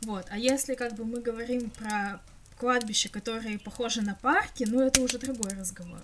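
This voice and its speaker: Over noticeable background noise, a woman talks at a moderate pace with fairly even intonation and a fairly high pitch. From Russia, Krasnoyarsk. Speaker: podcast co-host. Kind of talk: casual chat.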